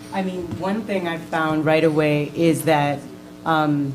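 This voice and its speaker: With an American accent, a woman with a very deep, low pitch speaks with fairly even intonation amid audible room echo and noticeable background noise. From New York City, Upper Manhattan. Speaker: elementary school teacher. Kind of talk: panel discussion answer.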